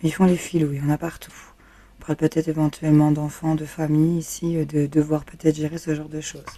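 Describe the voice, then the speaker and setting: At a very fast pace, a woman talks in a very deep, low pitch with a dark, mellow tone and monotone, flat intonation. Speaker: tarot reader. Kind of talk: tarot reading. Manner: casual, hesitant with fillers.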